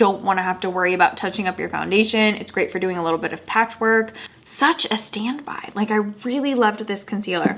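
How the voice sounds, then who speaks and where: A woman with a Michigan accent speaks at a moderate pace and medium pitch. Her intonation stays fairly even. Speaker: beauty youtuber. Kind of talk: product review vlog. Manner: casual, chatty.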